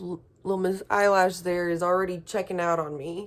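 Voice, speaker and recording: This is a woman speaking. Her pitch sits at a medium level. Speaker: beauty vlogger. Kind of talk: casual vlog review. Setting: outdoors. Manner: soft-spoken.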